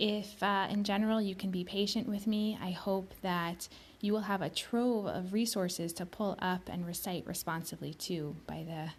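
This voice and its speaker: Her voice is somewhat breathy, and this woman keeps her intonation fairly even. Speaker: podcast host reciting Hebrew prayers. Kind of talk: casual podcast introduction.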